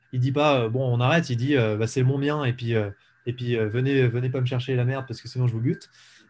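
A man's medium-pitched, somewhat breathy voice at a very fast pace, with fairly even intonation. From eastern France, Ain (Jura mountains). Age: 20s. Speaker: entrepreneur. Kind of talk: interview.

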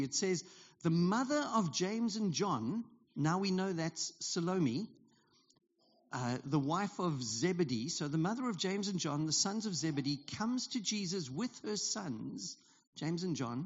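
In a South African accent, a man speaks at a moderate pace with a high pitch and very wide swings in it. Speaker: pastor. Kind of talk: sermon. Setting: church.

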